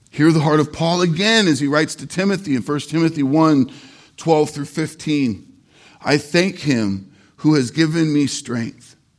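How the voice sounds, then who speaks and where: A man with an unremarkable speaking voice and a fairly high pitch talks at a fairly slow pace. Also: ordinary pitch variation. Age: 40s. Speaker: pastor. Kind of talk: sermon. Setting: church.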